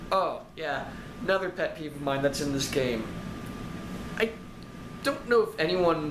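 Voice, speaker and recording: Audible room echo and noticeable background noise surround a man talking at a moderate speed. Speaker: game reviewer. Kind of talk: rant review. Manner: loud, yelling.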